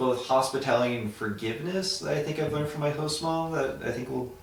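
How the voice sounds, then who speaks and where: A man with an American accent talks at a very fast pace with ordinary pitch variation. Noticeable background noise and audible room echo surround him. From Florida, US. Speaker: Peace Corps volunteer teacher. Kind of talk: casual interview. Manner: hesitant, many fillers.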